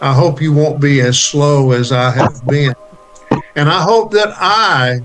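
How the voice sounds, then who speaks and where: Over music in the background, a man speaks at a fairly high pitch and a fairly slow pace, his intonation lively and his loudness very even. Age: 70s. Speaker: university chancellor. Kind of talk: inspirational address.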